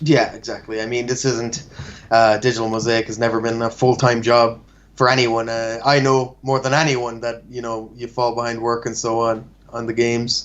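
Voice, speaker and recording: A man speaks at a moderate pace in an Irish accent, his intonation flat and monotone. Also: medium pitch for a man. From Ireland. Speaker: game graphic artist. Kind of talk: casual chat.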